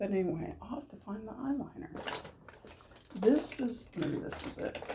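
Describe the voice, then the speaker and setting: With very wide pitch swings, a woman talks at a moderate pace in a fairly high voice, with noticeable background noise and audible room echo. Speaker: beauty vlogger. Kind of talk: casual chat. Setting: at home. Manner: quiet.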